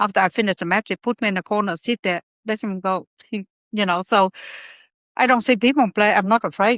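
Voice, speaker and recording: A woman at a medium pitch with fairly even intonation, a very fast pace and long, frequent pauses, in a dry, close sound with no echo and a very clean recording with a silent background. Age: 70s. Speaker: table tennis champion. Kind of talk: casual interview.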